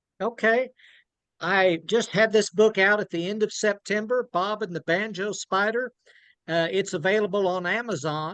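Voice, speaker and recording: A man with an Oklahoma accent, his voice high-pitched and fairly even in intonation, at a moderate pace, in a dry, close recording with no echo. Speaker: children's book author. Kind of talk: book talk. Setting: video call.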